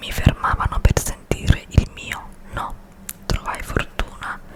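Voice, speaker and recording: A woman whispers. Noticeable background noise can be heard behind her. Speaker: ASMR creator. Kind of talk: ASMR magazine reading. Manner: whispered.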